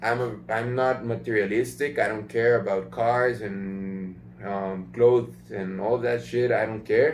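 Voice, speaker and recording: In a room with audible echo, a man at a medium pitch speaks fairly slowly with hardly any pauses. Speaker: business coach. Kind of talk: tutorial. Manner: hesitant fillers, many ums.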